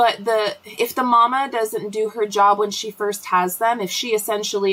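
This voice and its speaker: Fairly even intonation marks this woman's speech at a medium pitch. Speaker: homesteading livestream host. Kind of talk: casual live chat. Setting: livestream from the cabin. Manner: fast.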